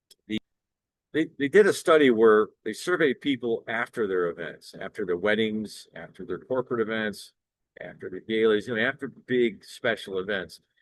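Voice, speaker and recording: Big swings in loudness mark a man's moderate-paced speech with an American accent and ordinary pitch variation. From South Florida. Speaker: singer and entertainer. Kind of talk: promotional monologue. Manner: halting.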